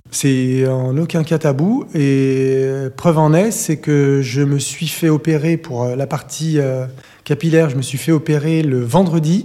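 A man's fairly high voice comes through very slowly, its pitch rising and falling in an ordinary way, with noticeable noise in the background. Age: 40s. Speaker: interviewee sharing cosmetic surgery experience. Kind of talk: testimony.

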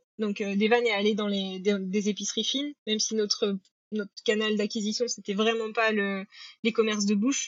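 A woman is speaking. Her pitch is fairly high. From Normandy, France. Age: 30s. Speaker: company founder. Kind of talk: casual interview.

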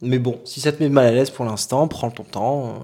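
Dark, mellow tone from a man at medium pitch, with ordinary pitch variation. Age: 30s. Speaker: energy healer. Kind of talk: casual chat.

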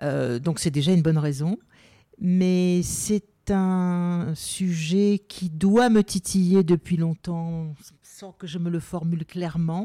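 A woman with a fairly low pitch and a dark, mellow tone speaks very slowly, her pitch varying in an ordinary way. Her loudness swings widely, and the sound is dry and close with no echo. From Algeria, then southern France. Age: 70s. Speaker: journalist and author. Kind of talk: personal testimony interview.

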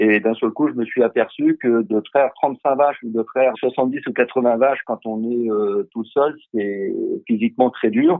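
A man with a normal speaking voice and medium pitch talks at a fairly slow pace with ordinary pitch variation. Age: 50s. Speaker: dairy farmer. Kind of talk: interview explanation.

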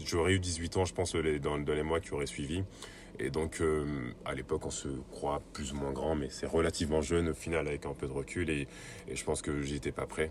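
At a moderate pace, a man speaks with a very deep, low pitch, vocal fry and a flat, monotone delivery. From Côte d'Ivoire. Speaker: sports project manager. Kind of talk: interview testimony. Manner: hesitant, many fillers.

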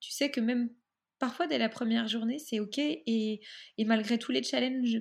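On a very clean recording with a silent background, a woman speaks fairly slowly in a fairly high, somewhat breathy voice. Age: 30s. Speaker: photographer and astrologer. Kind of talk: interview.

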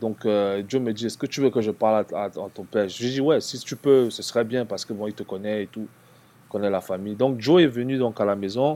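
Speaking at a fairly quick pace, a man with a dark, mellow tone shows big swings in loudness. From Cameroon (Yaoundé). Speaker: former basketball player. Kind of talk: casual interview.

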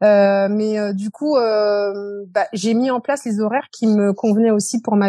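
A woman's fairly high-pitched voice, dark and mellow in tone, with fairly even intonation. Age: 40s. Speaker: beautician running her own salon. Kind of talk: testimony.

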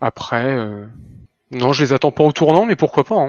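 This man's fairly high voice keeps a moderate pace and fairly even intonation. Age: 30s. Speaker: retail worker, gaming fan. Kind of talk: casual chat.

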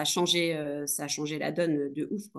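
The background is quiet as a woman talks at a very slow pace. Her intonation stays fairly even. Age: 30s. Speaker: nurse turned entrepreneur. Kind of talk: casual interview. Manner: hesitant, many fillers.

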